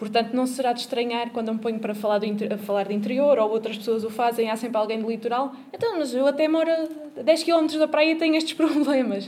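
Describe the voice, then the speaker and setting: Speaking at a very fast pace with hardly any pauses, a woman uses a high pitch and ordinary pitch variation amid noticeable background noise. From Portugal, Coimbra. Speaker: social activist and local candidate. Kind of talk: panel talk at a political forum. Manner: halting, many repetitions.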